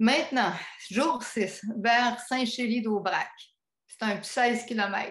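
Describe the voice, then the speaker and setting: A woman's fairly even intonation comes with a very slow pace. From Quebec. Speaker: pilgrim giving a talk. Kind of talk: travel talk. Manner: hesitant, many filler sounds.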